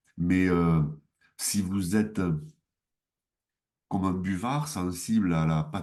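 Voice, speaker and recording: In a southwestern French accent, a man speaks with a very deep, low pitch, a dark, mellow tone and ordinary pitch variation. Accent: southwest French. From southwest France. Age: 60s. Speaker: mayor. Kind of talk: interview. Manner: hesitant, many fillers.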